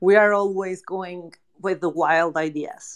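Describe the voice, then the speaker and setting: With a Spanish accent, a woman speaks at a medium pitch using fairly even intonation. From Mexico. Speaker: NFT project co-founder. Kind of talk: casual panel conversation.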